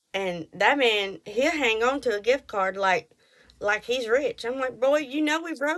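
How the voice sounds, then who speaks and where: With a strong Texas accent, a woman talks at a moderate pace. Her intonation is lively. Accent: thick Texas. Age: 30s. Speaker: podcast host. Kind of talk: casual monologue. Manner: animated.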